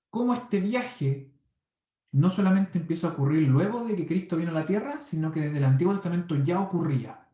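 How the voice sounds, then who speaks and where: High-pitched man with a dark, mellow tone and lively intonation. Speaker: Bible teacher. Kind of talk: Bible study lecture. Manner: fast.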